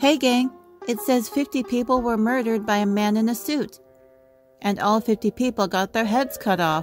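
A female-sounding cartoonish character voice, fairly high in pitch. It moves at a moderate pace over faint music in the background.

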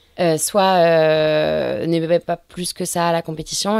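A woman speaks with a fairly low pitch. Her intonation is monotone and flat, on a very clean recording with a silent background. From Brittany, north Finistère. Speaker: offshore sailor. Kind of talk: interview. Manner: hesitant, many fillers.

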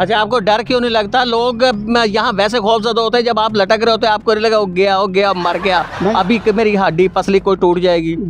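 A man's high-pitched voice with fairly even intonation, over light background noise. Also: dry sound with no echo. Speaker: news reporter. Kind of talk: interview questions. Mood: curious, amazed. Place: open country.

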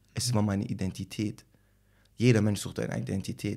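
Over a quiet background, a man speaks at a fairly quick pace with a fairly low pitch and ordinary pitch variation. His tone is dark and mellow, with vocal fry. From Germany, Tübingen area; Germany. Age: 20s. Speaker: rapper; interviewee. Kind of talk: casual interview. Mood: calm, reflective. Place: home room. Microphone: studio mic.

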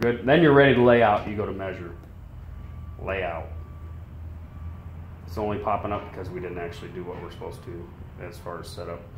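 Somewhat breathy, a man talks at a fairly quick pace, with audible room echo and light background noise. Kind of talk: tutorial. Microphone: phone near.

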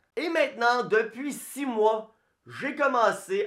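In a Quebec accent, a man speaks at a very slow pace against a quiet background. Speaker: personal finance youtuber. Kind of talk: direct-to-camera explainer video. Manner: casual. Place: home room.

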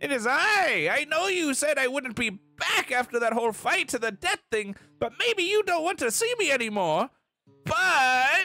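Faint music plays in the background as a put-on character voice growls along at a moderate pace. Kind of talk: comic overacting. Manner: loud, eager, apologetic.

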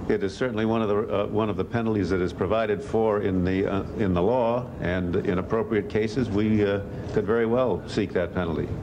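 Against noticeable background noise, a man with a fairly low pitch talks at a fairly quick pace, with hardly any pauses, very even loudness and fairly even intonation. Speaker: Attorney General at press briefing. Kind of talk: press briefing, legal answers to reporters. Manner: hesitant, filler-laden, careful. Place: garden. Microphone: podium.

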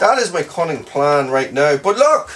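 A man at a moderate pace, faint music in the background. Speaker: off-grid cabin vlogger. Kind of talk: casual vlog chat. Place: home room. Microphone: camera far.

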